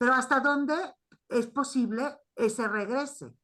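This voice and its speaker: Someone with a non-native accent speaks fairly slowly in a raised, projected voice with a bright, sharp tone against a quiet background. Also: woman. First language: not Spanish (speaking Spanish). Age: 60s. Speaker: primatologist and anthropologist. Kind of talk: academic discussion. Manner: halting.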